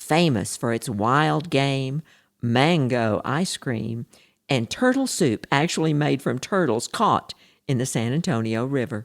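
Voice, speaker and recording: A woman speaks with a very deep, low pitch and lively intonation at a fairly slow pace. The recording is very clean, with a silent background. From Texas. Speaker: podcast host and author. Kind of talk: history podcast narration.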